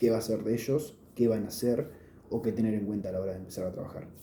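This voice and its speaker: Somewhat breathy and dark, mellow in tone, a man speaks at a medium pitch with a Rioplatense accent. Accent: Argentine Rioplatense Spanish. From Olavarría, Argentina. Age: 20s. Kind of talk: casual talk to camera. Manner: hesitant, many filler sounds.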